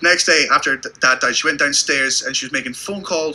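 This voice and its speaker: Over noticeable background noise, a man speaks at a very fast pace in an animated tone. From Britain. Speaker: stand-up comedian. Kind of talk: stand-up.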